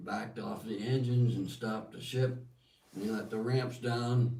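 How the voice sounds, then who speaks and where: A man with an American accent talks at a fairly slow pace in a medium pitch, his dark, mellow tone somewhat breathy and his intonation fairly even, with audible room echo around him. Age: 80s+. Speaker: war veteran. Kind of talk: testimony. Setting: livestream in Holland.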